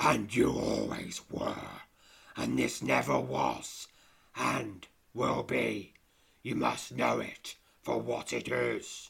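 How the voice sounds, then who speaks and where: In a put-on character voice, a man speaks at a very slow pace with long, frequent pauses, his raspy, rumbling tone set at a very deep, low pitch. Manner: gentle, solemn.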